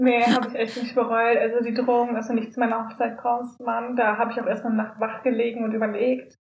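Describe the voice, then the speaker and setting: Over noticeable background noise, a woman speaks at a fairly quick pace in a fairly high, monotone, flat voice, with hardly any pauses. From Germany, Solingen. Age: 20s. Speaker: student, youth politics activist. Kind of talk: casual chat.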